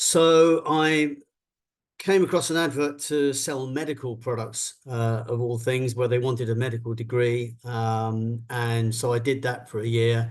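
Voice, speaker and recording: Against a quiet background, a man with a southern English accent talks fairly slowly at a medium pitch with ordinary pitch variation. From London, England. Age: 60s. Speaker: business executive. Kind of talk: interview talk.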